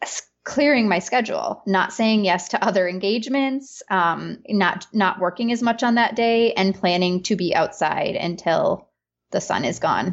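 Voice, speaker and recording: The speech moves at a fairly slow pace with hardly any pauses and ordinary pitch variation. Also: woman, medium pitch for a woman. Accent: Upper Peninsula Michigan. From Upper Peninsula of Michigan. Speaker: business consultant and homeschooling mother. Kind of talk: casual conversation.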